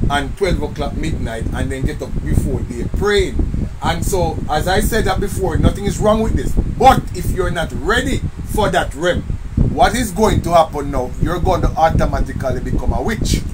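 There is loud background noise as a man talks at a moderate pace. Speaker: minister. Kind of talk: online prayer meeting teaching. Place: home room. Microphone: phone near.

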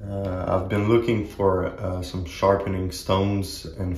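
A man speaks at a very slow pace in a very deep, low pitch. His delivery is monotone and flat, with audible room echo. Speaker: axe hobby channel host. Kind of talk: casual vlog chat. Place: home room.

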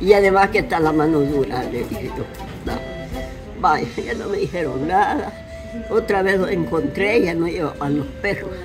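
Over clear background music, a woman with a fairly low pitch and lively intonation speaks at a moderate pace, leaving long, frequent pauses. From El Salvador. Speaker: elderly interviewee. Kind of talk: interview answer. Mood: animated, grateful. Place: garden. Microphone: phone near.

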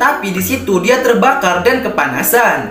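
A man's voice with audible room echo and light background noise. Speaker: story narrator content creator. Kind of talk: commentary.

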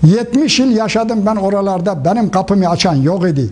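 A man with a high pitch and lively intonation speaks at a moderate pace over noticeable background noise. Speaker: elderly exile. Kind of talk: interview testimony. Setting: senior citizens' coffee house.

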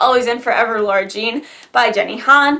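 Speaking at a moderate pace, a woman uses a high pitch and lively intonation. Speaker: book vlogger. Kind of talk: casual vlog chat. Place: home room. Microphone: phone near.

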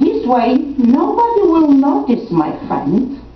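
A woman with a high-pitched voice speaks at a very slow pace, with audible room echo and light background noise. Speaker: poet and program director. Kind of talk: poetry reading to an audience. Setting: senior center event with audience. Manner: slow, gentle, tender, with soft pauses; warm, intimate, sometimes laughing. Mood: calm, reflective. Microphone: podium.

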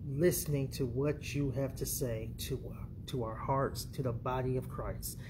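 Somewhat breathy, a man speaks at a fairly slow pace. Noticeable background noise sits behind him. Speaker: preacher. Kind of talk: sermon and prayer. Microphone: phone near.

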